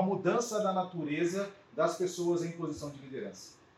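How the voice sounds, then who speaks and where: Amid noticeable background noise, a man with a high pitch talks at a moderate pace. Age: 40s. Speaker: business mentor and consultant. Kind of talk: lecture. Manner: hesitant, many filler sounds.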